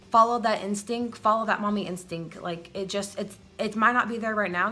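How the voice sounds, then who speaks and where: A woman speaks at a medium pitch and a moderate pace with ordinary pitch variation. Her tone is bright and sharp. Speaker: mom vlogger. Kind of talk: casual vlog talk to camera. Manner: rambling, hesitant.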